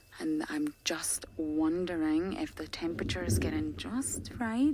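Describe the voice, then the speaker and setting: A woman with a normal speaking voice, fairly low in pitch, at a fairly slow pace. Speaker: safari guide. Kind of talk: live commentary. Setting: outdoors.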